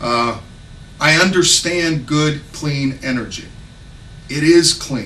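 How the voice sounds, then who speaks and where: There is audible room echo along with noticeable background noise. A man speaks at a very slow pace with ordinary pitch variation. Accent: slight Southern US. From Texas. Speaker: congressional candidate. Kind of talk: campaign speech. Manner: halting.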